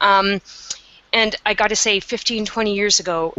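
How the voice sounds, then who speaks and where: A woman speaks at a moderate pace with a Canadian accent. Her intonation is fairly even, and there is noticeable background noise. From Canada. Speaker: meditation teacher. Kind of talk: webinar interview.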